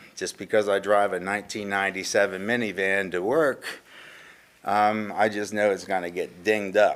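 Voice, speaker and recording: A man's fairly low voice at a moderate pace, flat and monotone, on a very clean recording with a silent background. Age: 60s. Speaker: local business owner, public commenter. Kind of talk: public comment at council meeting. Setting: council meeting room. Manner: passionate.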